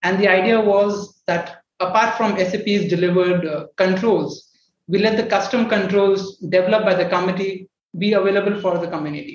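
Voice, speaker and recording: Fairly even intonation at a moderate pace. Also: man, high pitch for a man. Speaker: startup co-founder, software developer. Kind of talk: panel discussion.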